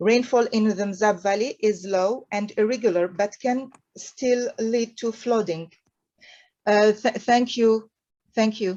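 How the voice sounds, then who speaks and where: With a French accent, a woman speaks at a very slow pace in a fairly high, dark, mellow voice. Her intonation stays fairly even. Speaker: architect and urban planning researcher. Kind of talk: conference presentation. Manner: halting.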